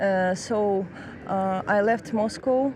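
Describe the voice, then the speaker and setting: Over noticeable background noise, a woman speaks with a Russian accent. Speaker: master's student in international law. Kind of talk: street interview. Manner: halting, many fillers.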